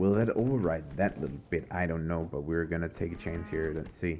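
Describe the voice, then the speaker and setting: A man is talking. Behind him, music plays in the background. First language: not English. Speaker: gaming YouTuber. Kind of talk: let's play commentary. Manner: casual, thinking aloud.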